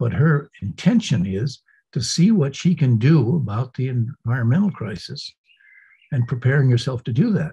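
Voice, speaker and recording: Somewhat breathy, a man with an American accent talks at a medium pitch with lively intonation. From New England, US. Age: 80s+. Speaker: Zen teacher. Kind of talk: interview. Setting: podcast. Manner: halting.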